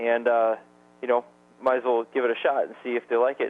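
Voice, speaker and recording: A man of medium pitch at a fairly quick pace. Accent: Upper Midwest. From Wisconsin. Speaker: network marketing distributor. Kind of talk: sales presentation webinar. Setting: conference call webinar. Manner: fast.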